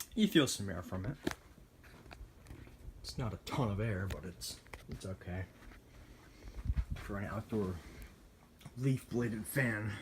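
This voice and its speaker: Somewhat breathy, a man with a fairly low pitch talks fairly slowly, with ordinary pitch variation and long, frequent pauses. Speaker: ceiling fan collector. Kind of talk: casual ceiling fan demo to camera. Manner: sluggish.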